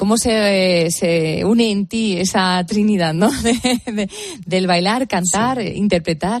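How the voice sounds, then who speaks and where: At a very slow pace, a woman talks in a medium pitch with ordinary variation in her pitch. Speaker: late-night radio host. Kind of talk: radio interview. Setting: radio studio.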